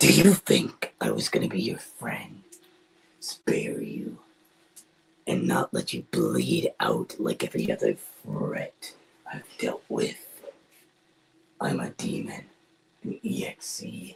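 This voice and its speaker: A man uses a raspy, put-on character voice. He talks at a fairly slow pace with long, frequent pauses. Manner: menacing.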